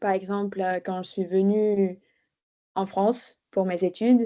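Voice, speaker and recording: Against a quiet background, a woman's dark, mellow tone holds a monotone, flat intonation. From Bulgaria. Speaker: podcast guest. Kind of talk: interview testimony. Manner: hesitant, many fillers.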